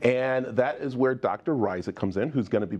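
The speaker is a man at a medium pitch. His pitch varies an ordinary amount. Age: 50s. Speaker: TV show host. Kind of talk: TV interview. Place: studio. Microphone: lapel.

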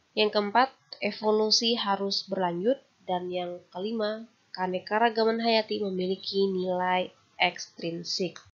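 A woman speaks at a fairly slow pace in an ordinary speaking voice, her pitch medium and her intonation fairly even. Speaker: university lecturer. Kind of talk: lecture. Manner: formal.

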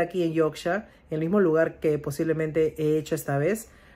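Fairly quick, animated speech from a woman with a fairly low pitch and a Peruvian accent. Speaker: vlogger and home cook. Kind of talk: casual vlog talk to camera.

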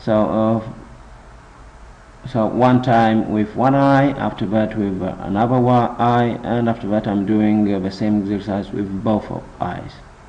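With noticeable background noise behind him, a man with a non-native accent talks at a fairly slow pace with fairly even intonation. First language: not English. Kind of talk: casual instructional talk to camera. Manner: hesitant, many filler sounds.

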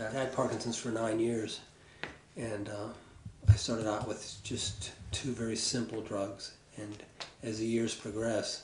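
With noticeable background noise behind him, a man speaks at a moderate pace, his pitch fairly low and his intonation monotone and flat. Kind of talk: personal documentary talk. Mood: matter-of-fact, reflective.

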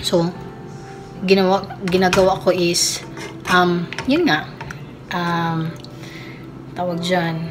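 Over clear music in the background, a woman speaks at a very slow pace with fairly low pitch and fairly even intonation. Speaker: cooking vlogger. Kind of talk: casual vlog chat. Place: kitchen. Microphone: phone near.

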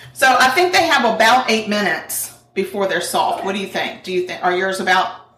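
A woman talks at a fairly quick pace with lively intonation and hardly any pauses. Audible room echo surrounds her voice. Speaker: true crime podcast co-host. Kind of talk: casual chat while cooking. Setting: home kitchen. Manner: laughs often. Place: kitchen.

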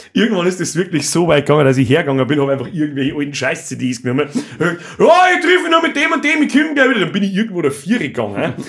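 A man with a high pitch races along at a very fast pace, his pitch swinging very widely. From Bavaria. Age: 30s. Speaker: podcast host. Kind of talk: casual chat. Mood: joking, animated. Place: studio. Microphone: studio mic.

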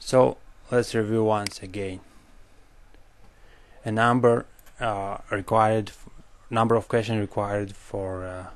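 With a strong non-native accent, this man talks at a fairly slow pace in a fairly low pitch, his intonation monotone and flat, broken by long, frequent pauses. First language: not English. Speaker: medical doctor. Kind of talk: educational lecture.

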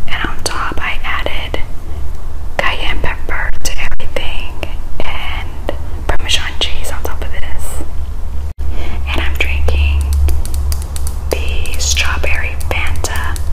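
A woman speaks at a very slow pace. Long, frequent pauses break up her speech. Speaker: ASMR eating creator. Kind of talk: ASMR eating video talk. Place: kitchen. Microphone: phone near.

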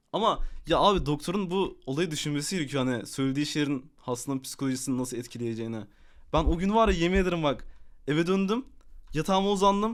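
A man speaks at a very fast pace in a fairly high pitch, with lively intonation. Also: very clean recording, silent background. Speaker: gaming streamer. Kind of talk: casual live stream chat. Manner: animated.

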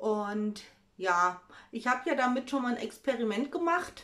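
Here a woman speaks at a very slow pace. Her pitch varies in an ordinary way. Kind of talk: casual cooking vlog chat. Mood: cheerful, chatty. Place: kitchen. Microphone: phone near.

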